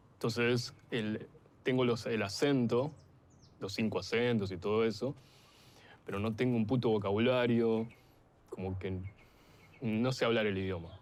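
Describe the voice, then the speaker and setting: A man talks with long, frequent pauses. His intonation stays fairly even. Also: medium pitch for a man, fairly slow pace. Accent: Argentine. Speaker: documentary interviewee. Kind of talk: casual chat.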